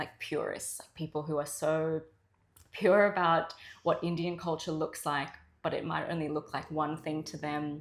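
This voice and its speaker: With an Australian accent, a woman speaks at a moderate pace in a very deep, low voice with fairly even intonation. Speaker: journalist. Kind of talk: interview answer.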